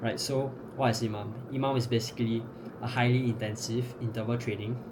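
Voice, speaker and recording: Noticeable background noise sits behind a man talking at a very fast pace. His medium-pitched voice stays monotone and flat. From Singapore. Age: 20s. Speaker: fitness coach. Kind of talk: fitness tutorial to camera. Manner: casual.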